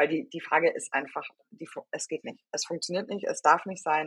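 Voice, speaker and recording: A woman with a normal speaking voice talks at a fairly quick pace and fairly low pitch. The sound is dry and close, with no echo. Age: 30s. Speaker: HR consultant. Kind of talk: podcast interview.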